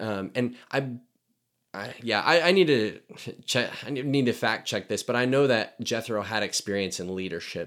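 In a normal speaking voice, a man speaks at medium pitch and a moderate pace with lively intonation. The recording is very clean, with a silent background. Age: 20s. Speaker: podcast co-host. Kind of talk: casual chat.

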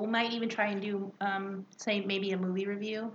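A woman talks at a fairly quick pace and medium pitch. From Mexican-American, California. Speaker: podcast co-host. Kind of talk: casual chat. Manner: animated.

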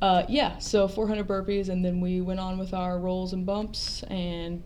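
Amid noticeable background noise and audible room echo, a woman at a medium pitch talks at a fairly slow pace with hardly any pauses. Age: young. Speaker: professional wrestler. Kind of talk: interview.

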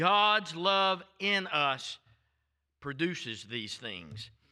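This man has a high voice with a bright, sharp tone, an American accent, and lively intonation, speaking at a very slow pace. The recording is very clean, with a silent background. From US South, Florida. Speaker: visiting preacher. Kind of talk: sermon. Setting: church. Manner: fiery, animated.

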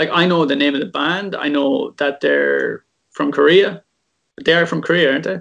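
A man talks at a moderate pace in a fairly high pitch, with vocal fry. His pitch variation is ordinary. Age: 30s. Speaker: football artist and illustrator. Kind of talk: casual chat.

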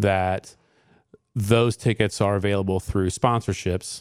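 A man with a Midwestern American accent, fairly low-pitched and monotone, sounding dry and close with no echo on a very clean recording with a silent background. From Indiana, Johnson County. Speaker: firefighter and fundraiser organizer. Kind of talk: radio interview. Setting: studio.

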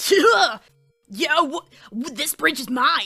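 A put-on character voice, high in pitch and very slow, with faint music in the background. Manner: gruff, confrontational, stuttering.

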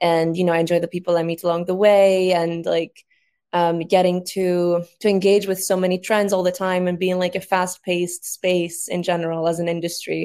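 A woman with a Greek accent speaks at a moderate pace in a fairly low, dark, mellow voice with monotone, flat intonation, on a very clean recording with a silent background. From Greece. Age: 20s. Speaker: social media agency founder. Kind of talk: panel discussion.

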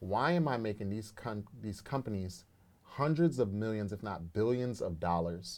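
A man with a plain, everyday voice, fairly low pitch, lively intonation and a moderate pace, on a very clean recording with a silent background. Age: 30s. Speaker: entrepreneur. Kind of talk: casual interview.

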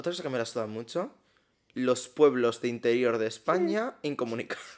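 The delivery has an animated tone and moves at a moderate pace. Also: man. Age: 20s. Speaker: podcast co-host. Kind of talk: casual chat.

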